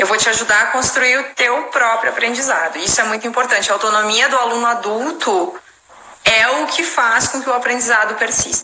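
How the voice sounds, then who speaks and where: At a fairly quick pace, a woman with a fairly high pitch uses an ordinary speaking voice with ordinary pitch variation. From Brazil. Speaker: English teacher and translator. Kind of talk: casual chat. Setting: live stream.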